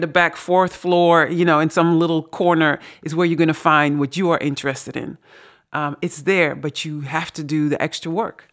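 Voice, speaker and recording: The speaker moves at a fairly quick pace with monotone, flat intonation. The recording is very clean, with a silent background. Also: woman. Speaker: author and podcast host. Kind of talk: casual conversation and reading aloud.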